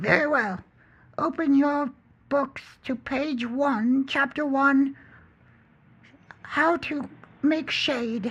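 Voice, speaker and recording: A put-on character voice speaks at a high pitch. It goes at a very slow pace with long, frequent pauses. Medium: read story. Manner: strict, clipped.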